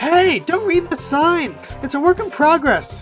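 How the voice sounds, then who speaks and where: Over clear background music, a woman does a put-on character voice at an extremely high pitch and a moderate pace. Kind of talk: let's play commentary. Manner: goofy, playful.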